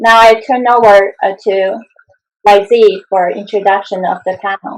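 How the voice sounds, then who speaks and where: A woman speaks in a Chinese accent. Her intonation is fairly even. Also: medium pitch for a woman, moderate pace. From China. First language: Mandarin Chinese. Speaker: roundtable host, activist. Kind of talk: panel discussion opening.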